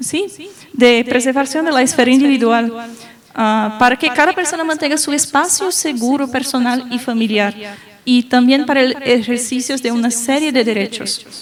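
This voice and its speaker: A woman with a high pitch talks at a moderate pace over noticeable background noise. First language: Portuguese (speaking Spanish). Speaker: lawyer and panelist. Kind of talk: panel talk. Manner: halting, many fillers.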